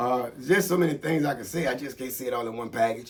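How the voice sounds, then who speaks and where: A man speaks at a fairly quick pace. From Tampa, Florida. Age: 60s. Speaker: military veteran. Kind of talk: casual monologue. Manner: animated.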